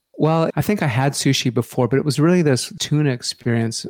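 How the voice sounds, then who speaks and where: At a moderate pace, a man speaks in an ordinary speaking voice, with a dry, close sound and no echo. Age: 50s. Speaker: vocal coach and life coach. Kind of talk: casual interview.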